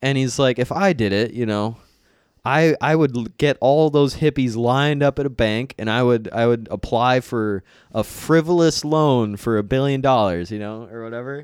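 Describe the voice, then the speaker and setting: In a very clean recording with a silent background, a man talks at a moderate pace in an ordinary speaking voice, at a medium pitch with ordinary pitch variation. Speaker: comedian. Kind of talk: casual chat.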